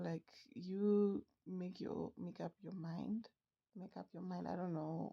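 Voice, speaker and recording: Against a quiet background, a woman with a non-native accent speaks very slowly in a fairly low, dark, mellow voice with fairly even intonation. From outside the US. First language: not English. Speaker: sports fan vlogger. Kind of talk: casual commentary vlog. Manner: halting, many fillers.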